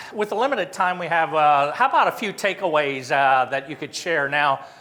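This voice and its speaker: Against noticeable background noise, a man speaks at a fairly quick pace in a fairly high pitch. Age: 60s. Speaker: company founder giving invited talk. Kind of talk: interactive workshop talk.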